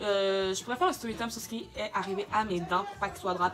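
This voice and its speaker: With music playing in the background, a woman talks in an animated tone with a Quebec accent. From Quebec, Montreal. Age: 20s. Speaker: beauty YouTuber. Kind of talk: casual vlog Q&A.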